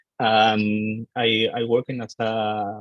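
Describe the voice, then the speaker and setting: Speaking with an Argentine accent, a man uses a fairly low pitch and a monotone, flat intonation. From Argentina. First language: Spanish. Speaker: IT architect. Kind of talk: self-introduction on video call. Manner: halting, many hesitations.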